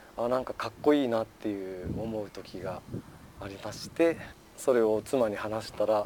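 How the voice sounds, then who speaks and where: A man speaks at a moderate pace and a medium pitch. His intonation is fairly even, in a normal speaking voice. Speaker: farmer. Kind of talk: casual interview. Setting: outdoors on a wooden deck.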